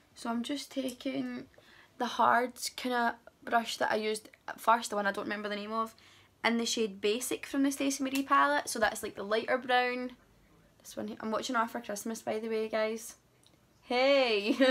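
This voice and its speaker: A woman with a Glasgow accent, fairly high-pitched, with ordinary pitch variation at a moderate pace. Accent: Scottish (Glasgow). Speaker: beauty vlogger. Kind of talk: makeup tutorial. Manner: soft-spoken.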